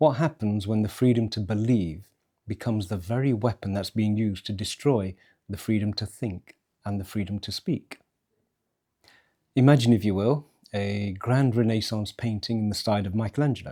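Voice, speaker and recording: At a moderate pace, a man speaks with a fairly low pitch and ordinary pitch variation. His tone is dark and mellow. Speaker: philosopher, scholar. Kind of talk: philosophical monologue. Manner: forceful, uncompromising.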